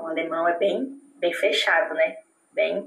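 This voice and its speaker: At a fairly slow pace, a woman talks in a normal speaking voice with lively intonation. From Brazil, Palmas, Tocantins. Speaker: Brazilian expat interviewee. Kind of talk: casual interview.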